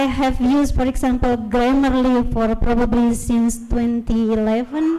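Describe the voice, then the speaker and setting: Her voice sits at a high pitch. The woman's intonation is fairly even. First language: not English, English is third language or later. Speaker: university lecturer. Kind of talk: workshop presentation. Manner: halting.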